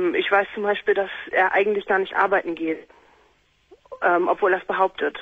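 At a moderate pace, a woman talks in a medium-pitched voice with fairly even intonation and long, frequent pauses. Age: 20s. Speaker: caller. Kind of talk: phone-in call.

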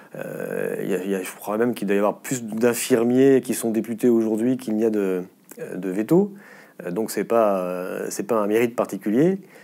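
At a moderate pace, a man speaks at a medium pitch with ordinary variation and a dark, mellow tone. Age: 50s. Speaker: politician and former veterinarian; politician. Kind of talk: interview. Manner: halting, frequent repetitions and hesitations. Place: studio. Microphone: lapel.

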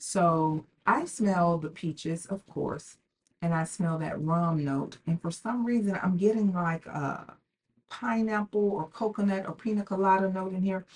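A woman speaks at a fairly slow pace with a medium pitch. Her voice is somewhat breathy, with ordinary pitch variation. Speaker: fragrance reviewer YouTuber. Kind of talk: casual product review vlog.

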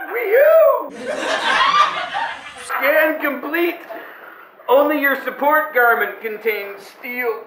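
Putting on a robotic character voice at an extremely high pitch, a man speaks very slowly with audible echo. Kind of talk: comic robot voice. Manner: mechanical, literal, with beeps and boops.

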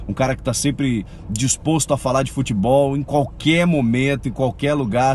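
Fairly quick and medium-pitched, a man talks with fairly even intonation over light background noise, the sound dry with no echo. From Brazil. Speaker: TV colleague. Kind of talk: recorded video message. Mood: warm, friendly, admiring. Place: car. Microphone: phone near.

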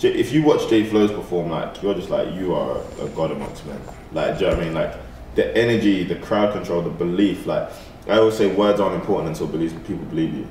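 Over light background noise and with audible room echo, a man talks very fast. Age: 20s. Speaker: musician and artist. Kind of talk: casual interview.

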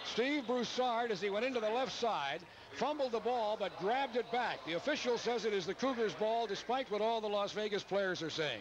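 A man speaks at a high pitch with ordinary pitch variation over noticeable background noise. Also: dry sound with no echo. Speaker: play-by-play announcer. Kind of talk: live play-by-play sports commentary. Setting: stadium press box broadcast. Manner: rapid-fire, animated play-by-play calling the action as it unfolds.

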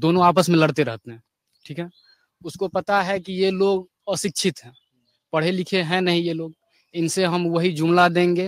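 A man's high-pitched voice with fairly even intonation, long, frequent pauses and big swings in loudness, dry and close with no echo. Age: 20s. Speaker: young voter, recent graduate. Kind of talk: street interview.

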